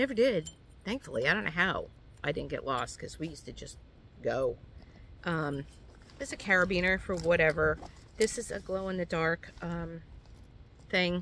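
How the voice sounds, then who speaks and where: The voice carries an American accent, lively intonation and a moderate pace. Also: woman. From New York. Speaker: hiking vlogger. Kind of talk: tutorial. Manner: casual, hesitant with many fillers.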